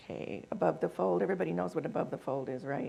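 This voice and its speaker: Very fast and marked by vocal fry, a woman's very deep, low voice moves through very wide pitch swings. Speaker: conference presenter. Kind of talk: conference presentation.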